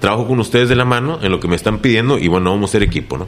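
At a very fast pace, a man talks with ordinary pitch variation. Noticeable background noise is present. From Reynosa, Tamaulipas, Mexico. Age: 30s. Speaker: mayoral candidate. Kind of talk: interview. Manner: halting.

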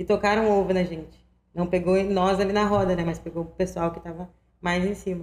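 A woman talks at a fairly quick pace in a flat, monotone delivery, her pitch medium. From Viamão, Rio Grande do Sul, Brazil. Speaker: rap battle organizer. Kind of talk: casual interview.

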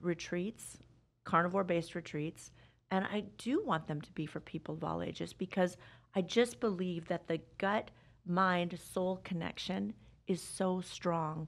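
A woman with an American accent speaks at a moderate pace in an unremarkable speaking voice, fairly low in pitch, with fairly even intonation. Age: 50s. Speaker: wellness coach. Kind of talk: interview. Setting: studio.

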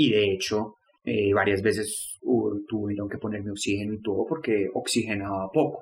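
A man talks in a normal speaking voice with a fairly low pitch. His intonation is fairly even and his pace moderate. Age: 20s. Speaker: student sharing depression story. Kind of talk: personal testimony.

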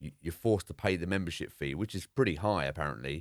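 A man's very deep, low voice with vocal fry, in a dry, close sound with no echo. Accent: English. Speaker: podcast co-host. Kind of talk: casual chat. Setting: remote call.

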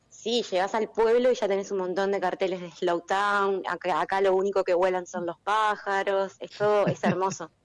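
On a very clean recording with a silent background, a woman speaks at a moderate pace with hardly any pauses. Her medium-pitched voice has monotone, flat intonation. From Uruguay. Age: 30s. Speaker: winemaker. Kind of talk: casual interview.

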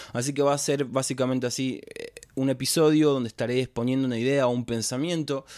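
A man speaks with a Rioplatense accent. His pace is fairly quick and his intonation fairly even. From Argentina, Florencio Varela (south Greater Buenos Aires). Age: 20s. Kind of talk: solo reflective podcast monologue. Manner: spontaneous, hesitant with fillers.

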